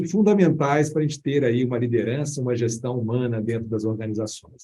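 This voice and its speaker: A man with a Minas Gerais accent, medium pitch, a dark, mellow and somewhat breathy tone, ordinary pitch variation and a moderate pace. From Minas Gerais, Brazil (Belo Horizonte). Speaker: HR director. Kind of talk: podcast interview.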